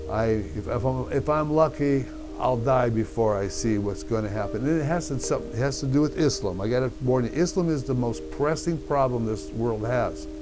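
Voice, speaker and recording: Over music in the background and audible room echo, a man speaks at a moderate pace with lively intonation and a medium pitch. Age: 60s. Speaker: YouTuber. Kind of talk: casual vlog talk. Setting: home desk in front of webcam. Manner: halting, with repetitions.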